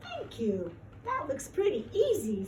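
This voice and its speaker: A woman puts on a character voice, speaking fairly slowly at a high pitch over clear background noise. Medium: read story.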